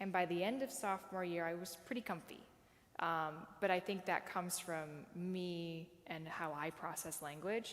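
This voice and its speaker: A woman with an American accent speaks at a moderate pace, with a fairly low pitch and ordinary pitch variation. It is an ordinary speaking voice. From US Midwest. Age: 30s. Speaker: sign language interpreter. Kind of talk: talk with audience Q&A.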